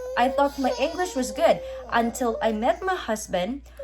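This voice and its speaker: A woman speaks in a high-pitched voice with a Filipino accent. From Philippines. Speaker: vlogger. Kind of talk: casual chat.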